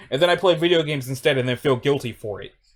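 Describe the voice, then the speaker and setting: Music plays in the background. Over it, a man speaks in an animated tone. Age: 20s. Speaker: YouTuber and voice reader. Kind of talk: casual chat.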